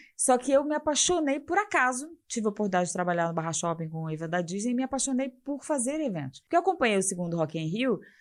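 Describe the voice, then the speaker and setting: At a very fast pace with hardly any pauses, a woman speaks. Her fairly high pitch moves in very wide swings. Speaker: festival executive. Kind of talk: interview.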